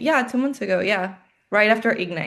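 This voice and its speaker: Against a quiet background, a woman speaks at a medium pitch with a Colombian accent. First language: Spanish. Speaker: life insurance agent. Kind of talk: video call interview.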